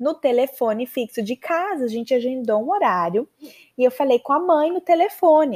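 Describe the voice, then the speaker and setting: High-pitched woman's voice with a dark, mellow tone, lively intonation and a moderate pace, in a very clean recording against a silent background. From Maceió, northeastern Brazil. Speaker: podcast host, English teacher. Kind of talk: personal storytelling monologue. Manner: casual, chatty.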